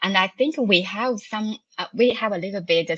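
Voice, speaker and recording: The background is quiet. A woman speaks with a Chinese accent and lively intonation. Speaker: cloud architect and author. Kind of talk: podcast interview. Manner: halting, many fillers.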